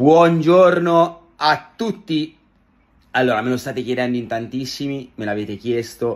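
Ordinary pitch variation marks this man's speech. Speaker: social media creator. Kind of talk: casual vlog chat. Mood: slightly disappointed but warm. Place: home room. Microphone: phone near.

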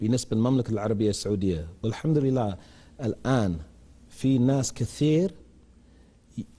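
A man with an English accent speaks at a moderate pace in a dark, mellow, somewhat breathy voice with lively intonation. His loudness stays very even, and he leaves long, frequent pauses. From England, London. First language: English (speaking Arabic). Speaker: English teacher. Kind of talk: TV interview. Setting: studio. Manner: halting. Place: studio. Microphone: lapel.

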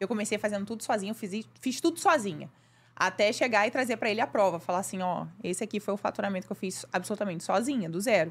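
The speaker is a woman with ordinary pitch variation. She talks very fast. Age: 30s. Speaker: makeup artist and beauty course creator; beauty course creator. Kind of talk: casual chat. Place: studio. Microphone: studio mic.

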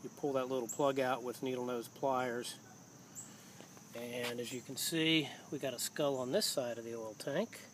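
Pitched at a medium level, a man speaks with a fairly bright tone. His pace is moderate and his intonation fairly even.

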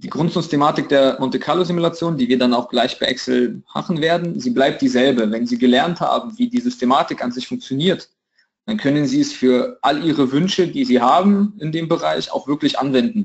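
Pitched high, a man's voice jumps through very wide pitch swings. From Russia, St. Petersburg. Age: 20s. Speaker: trading educator. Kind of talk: tutorial. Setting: video call.

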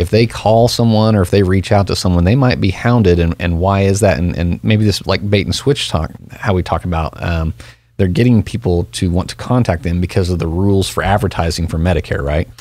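The speech moves at a fairly quick pace with ordinary pitch variation, and the sound is dry with no echo. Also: man. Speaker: radio host. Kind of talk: radio show discussion. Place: studio. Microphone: studio mic.

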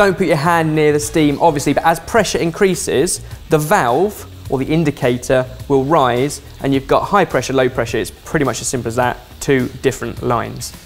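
Fairly quick speech over faint background music. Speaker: presenter. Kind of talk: tutorial. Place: studio. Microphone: lapel.

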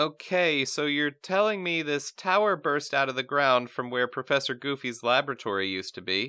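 A man puts on a whiny character voice, fairly high in pitch, speaking at a moderate pace with hardly any pauses. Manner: whiny, meek.

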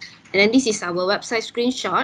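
A woman has an ordinary speaking voice, fairly high in pitch, with ordinary pitch variation. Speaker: event secretariat moderator. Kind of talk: event introduction. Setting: video call. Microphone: video call.

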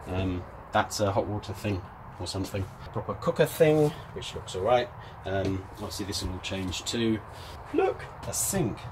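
Against noticeable background noise, a man speaks at a moderate pace with a fairly low pitch. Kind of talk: casual vlog chat. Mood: cheerful, wry. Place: boat. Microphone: phone near.

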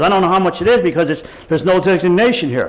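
A man's very fast speech over noticeable background noise. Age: 70s. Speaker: public commenter at city council meeting. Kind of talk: public comment. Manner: halting, repetitive.

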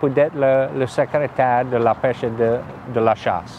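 A man's fairly high voice with a Louisiana accent and ordinary pitch variation, dry sound with no echo, and light background noise. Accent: Louisiana Cajun French. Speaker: state official and former fire chief. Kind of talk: interview. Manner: halting, many repetitions and hesitations. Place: open country.

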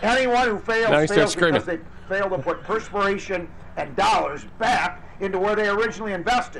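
Over noticeable background noise, a man talks at a fairly quick pace. His voice is high with ordinary pitch variation. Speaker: mayor speaking at a press conference. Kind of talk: press conference remarks. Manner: starts calm then becomes heated, ranting.

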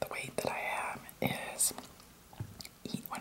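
A woman speaks at a moderate pace. Loud background noise fills the recording. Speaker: food vlogger. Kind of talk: casual vlog chat. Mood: disgusted amused. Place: kitchen. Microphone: phone near.

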